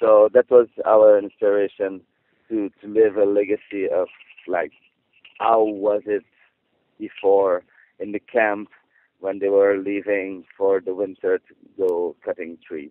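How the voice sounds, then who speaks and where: A man with a non-native accent speaks at a fairly low pitch and a fairly slow pace, his intonation monotone and flat, with long, frequent pauses. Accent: non-native English speaker. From Quebec, rural (Saint-Alphonse-Rodriguez area). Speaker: circus performer. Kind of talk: interview. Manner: halting.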